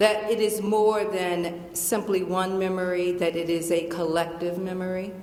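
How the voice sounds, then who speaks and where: Someone with a Southern US accent speaks at a fairly slow pace, with noticeable background noise and audible room echo. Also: woman. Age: 60s. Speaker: professor. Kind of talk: Q&A after a lecture. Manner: animated.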